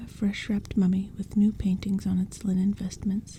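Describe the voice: This is plain reading aloud. Nothing else is noted.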